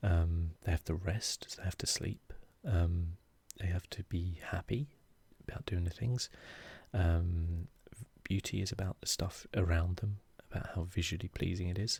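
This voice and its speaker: A soft-spoken man with a calm, relaxed tone and a very deep, low pitch, somewhat breathy, at a moderate pace with fairly even intonation and long, frequent pauses. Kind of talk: soft-spoken ASMR gaming commentary.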